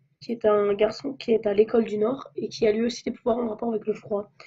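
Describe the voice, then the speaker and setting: Her voice is fairly high-pitched and somewhat breathy. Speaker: amateur fanfiction writer. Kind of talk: casual talk to camera.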